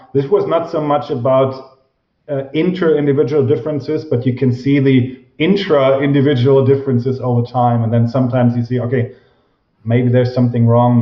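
Speaking with a German accent, a man uses a medium pitch and fairly even intonation. His pace is fairly quick. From Germany. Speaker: professor of organizational psychology. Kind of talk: interview.

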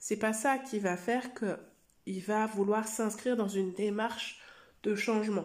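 A woman talks very slowly, her fairly high pitch paired with fairly even intonation. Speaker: coach and therapist, podcast host. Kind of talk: solo podcast monologue.

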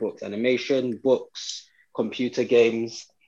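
Medium-pitched, a man talks with a British accent. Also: quiet background. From Britain. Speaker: podcast guest. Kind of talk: casual chat.

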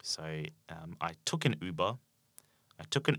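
In a very clean recording with a silent background, a man with a very deep, low pitch speaks in a bright, sharp tone with ordinary pitch variation. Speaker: English teacher. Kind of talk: language-learning podcast monologue. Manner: slow, clear and simple for learners; many filler ums.

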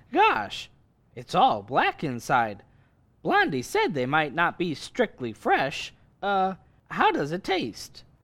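Here a man speaks at a very slow pace with a high pitch. The recording is very clean, with a silent background. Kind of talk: old-time radio comedy. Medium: audio drama. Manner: naive, eager, easily flustered.

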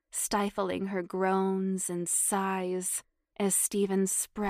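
A plain read-aloud delivery against quiet surroundings

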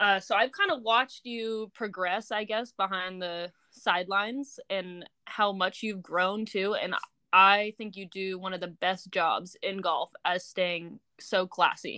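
A woman with an American accent speaks at a fairly slow pace, her medium pitch carrying a bright, sharp tone and fairly even intonation. The recording is very clean, with a silent background. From California. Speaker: podcast host. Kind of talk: interview.

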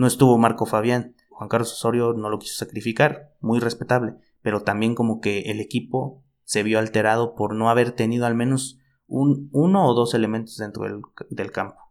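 A man with a normal speaking voice talks at a moderate pace, holding a medium pitch and fairly even intonation. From Mexico, Chiapas. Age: 20s. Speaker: podcast co-host, football commentator. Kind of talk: casual football chat.

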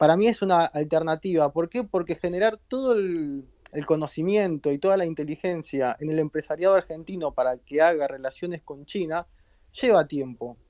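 At a moderate pace, a man speaks at a high pitch with ordinary pitch variation, in dry, close sound with no echo. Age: 40s. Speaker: media entrepreneur. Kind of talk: interview.

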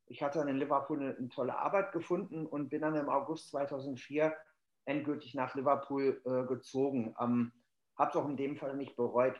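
A man's normal speaking voice, fairly high in pitch, at a moderate pace with fairly even intonation. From Germany, Hannover. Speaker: football casual culture expert. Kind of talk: casual chat. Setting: remote call.

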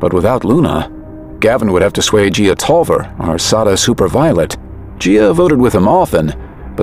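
The voice moves at a fairly quick pace with very wide pitch swings. Music plays in the background. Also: man. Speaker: audiobook narrator. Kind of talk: literary audiobook narration. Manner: steady, immersive storytelling pace with clear, measured delivery.

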